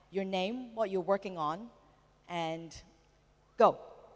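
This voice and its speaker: Very slowly, a woman speaks in an American accent. Her medium pitch shows ordinary variation. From Hong Kong. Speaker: conference speaker, entrepreneur. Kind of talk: conference talk. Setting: stage with audience. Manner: halting, many fillers.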